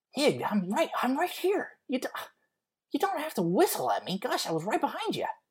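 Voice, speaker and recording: A high-pitched, put-on character voice talks at a moderate pace. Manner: annoyed, indignant.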